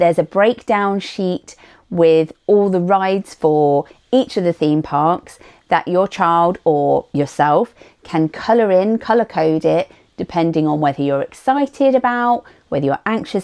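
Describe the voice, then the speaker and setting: Speaking fairly slowly with a British accent, a woman uses lively intonation and a fairly low pitch, and the sound is dry and close with no echo. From United Kingdom. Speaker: vlogger. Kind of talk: tutorial.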